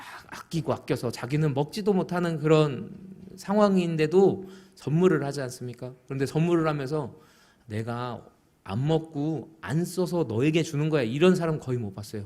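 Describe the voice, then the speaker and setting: A man with a slight Busan accent, fairly high pitch, moderate pace, lively intonation and big swings in loudness. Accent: weak Busan dialect. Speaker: pastor. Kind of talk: sermon.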